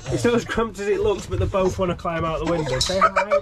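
Noticeable background noise sits behind the speaker. He is a man with a high pitch. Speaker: vlogger giving van tour. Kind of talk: casual vlog chat. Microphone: phone near.

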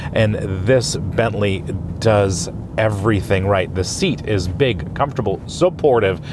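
A fairly low-pitched male voice at a moderate pace with lively intonation, dry with no echo, over music in the background. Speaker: car reviewer. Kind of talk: car review commentary. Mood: enthusiastic, admiring. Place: car.

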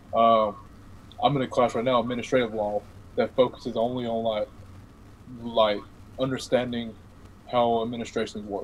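A man talks at a moderate pace and medium pitch, his intonation monotone and flat. Long, frequent pauses break it up, with light background noise behind. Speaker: podcast guest, law student; podcast guest. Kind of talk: casual chat. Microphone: video call.

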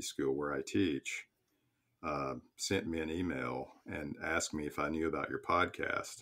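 A man with very deep, low pitch, vocal fry and lively intonation. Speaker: minister and psychotherapist; professor of pastoral theology. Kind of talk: podcast interview answer.

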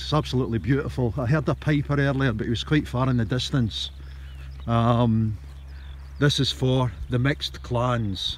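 A man with a Scottish accent is heard in a dry sound with no echo and light background noise. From Scotland. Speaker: writer and storyteller. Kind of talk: outdoor guided history tour to camera. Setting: outdoors. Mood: calm, reflective. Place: open country. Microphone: phone near.

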